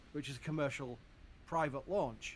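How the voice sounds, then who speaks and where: Speaking with a Yorkshire accent, a man has a fairly high pitch and ordinary pitch variation. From Yorkshire, northern England. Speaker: livestream space channel host. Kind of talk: live stream chat. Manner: casual, halting with repetitions.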